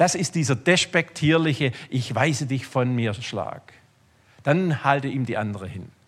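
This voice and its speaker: On a very clean recording with a silent background, a man speaks fairly slowly at a medium pitch, with lively intonation and an animated tone. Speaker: preacher. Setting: church. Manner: animated, conversational, humorous, direct address to the congregation.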